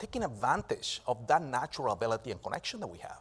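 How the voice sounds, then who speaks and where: A man with a non-native accent talks very fast with very wide pitch swings. The recording is very clean, with a silent background. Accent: foreign accent in English. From Venezuela. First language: Spanish. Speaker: business and technology strategist, speaker. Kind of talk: keynote speech. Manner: halting, with fillers and repetitions.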